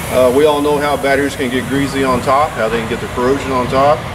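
Loud background noise fills the recording while the words come at a fairly quick pace. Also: man. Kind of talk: tutorial. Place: open country.

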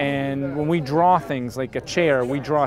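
A man talks with ordinary pitch variation over noticeable background noise, the sound dry with no echo. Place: boat. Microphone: camera far.

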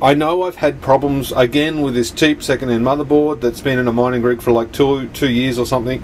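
Over light background noise, a man talks at a fairly quick clip with fairly even intonation. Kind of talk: casual vlog explanation. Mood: mildly frustrated, troubleshooting. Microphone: phone near.

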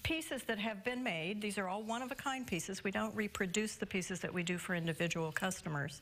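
A woman talks fairly quickly with lively intonation. Light background noise sits behind her. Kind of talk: interview answer. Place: shop. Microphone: lapel.

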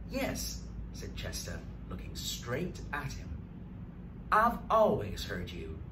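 Over noticeable background noise, a man delivers his words at a very slow pace in a dramatic tone with big swings in loudness. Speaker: storyteller. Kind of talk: bedtime story reading aloud, picture-book narration with character voices. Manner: slow, expressive, paced for children with dramatic pauses. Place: studio.

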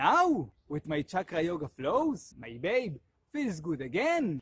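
A man's voice moves through very wide pitch swings. The sound is dry with no echo, and the background is quiet. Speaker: yoga instructor. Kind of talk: animated promo vlog talk. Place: forest. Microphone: phone near.

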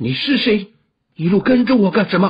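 Using a put-on character voice, the speaker sounds shaky at a middle pitch and a moderate pace. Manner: frightened.

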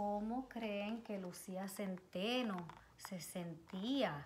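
A woman talks at a very slow pace with ordinary pitch variation. Light background noise can be heard. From Puerto Rico. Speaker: children's educator, nonprofit advisory board member; story reader. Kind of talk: reading aloud to children. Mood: gentle, expressive storytelling. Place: home room. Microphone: phone near.

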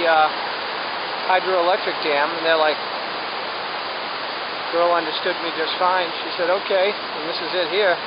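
Over loud background noise, the dry sound carries no echo as the speaker talks at a moderate pace with long, frequent pauses. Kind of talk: casual vlog chat. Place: waterside. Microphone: phone near.

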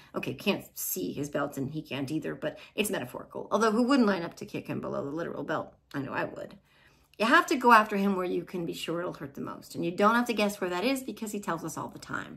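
Vocal fry and lively intonation mark a woman's speech in an American accent, with big swings in loudness. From New Jersey. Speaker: political podcast host. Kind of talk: casual chat. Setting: video call. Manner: sarcastic. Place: home room. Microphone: webcam.

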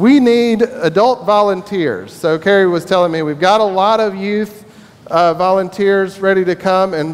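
Ordinary pitch variation in a man's voice pitched high. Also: moderate pace. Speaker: minister. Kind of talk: church announcements. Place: church.

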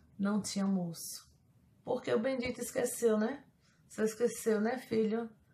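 A woman with a Brazilian accent speaks in a somewhat breathy voice at a medium pitch and moderate pace, with ordinary pitch variation and light background noise. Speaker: YouTuber. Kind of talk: casual vlog monologue. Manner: animated. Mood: playful, joking confessions. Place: home room. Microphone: phone near.

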